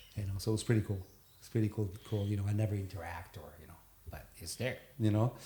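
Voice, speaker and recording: A man's fairly low, dark, mellow voice in a Neapolitan accent, very fast and somewhat breathy, with fairly even intonation and big swings in loudness. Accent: Italian (Neapolitan) accent in English. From Naples, southern Italy. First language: Italian. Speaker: sail and board gear designer, entrepreneur. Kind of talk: casual podcast interview. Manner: halting, many fillers.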